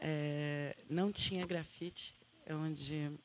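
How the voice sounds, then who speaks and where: A Santa Catarina accent with ordinary pitch variation. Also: woman. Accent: Santa Catarina accent, kept. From Santa Catarina, southern Brazil. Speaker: photographer and journalist. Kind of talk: panel talk.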